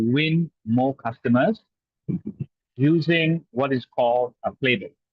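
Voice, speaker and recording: Speaking at a very slow pace, a man with a fairly high pitch shows ordinary pitch variation. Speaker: sales trainer. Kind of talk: webinar presentation. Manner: animated.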